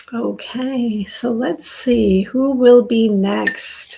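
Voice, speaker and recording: A woman speaks at a very slow pace in a high, warm and gentle voice with fairly even intonation. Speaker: tarot reader. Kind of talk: live-stream tarot reading. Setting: live stream. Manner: warm, gentle.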